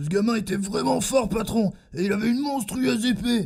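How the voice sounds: Doing a cartoonish character voice, a man speaks at a high pitch and a moderate pace, raspy and with lively intonation.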